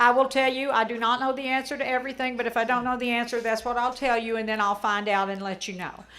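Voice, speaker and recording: Loud and very fast, a woman talks at a high pitch. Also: fairly even intonation, hardly any pauses. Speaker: HOA president. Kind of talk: town hall address.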